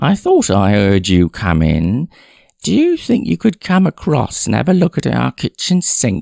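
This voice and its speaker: A man puts on a whiny character voice at a medium pitch, speaking at a moderate pace with very even loudness. The sound is dry and close with no echo on a very clean recording with a silent background. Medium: read story. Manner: vague, trailing off mid-sentence.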